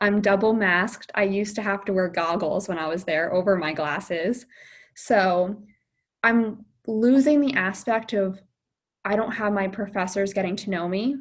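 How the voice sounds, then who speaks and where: In a normal speaking voice, a woman talks at a medium pitch and a moderate pace. Her pitch varies in an ordinary way. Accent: American. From New Jersey. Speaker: optometry student. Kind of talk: interview. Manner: casual with fillers.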